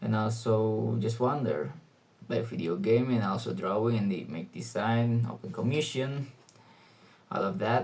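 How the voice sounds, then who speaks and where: A man's medium-pitched, somewhat breathy voice, fairly slow, with lively intonation and audible room echo. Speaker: student vlogger. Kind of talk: casual monologue vlog. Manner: halting, many fillers.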